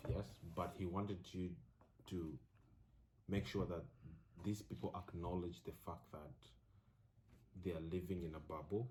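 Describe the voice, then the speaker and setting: A man with a very deep, low pitch and an African accent, somewhat breathy, at a moderate pace with ordinary pitch variation and long, frequent pauses. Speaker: college student. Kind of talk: casual chat.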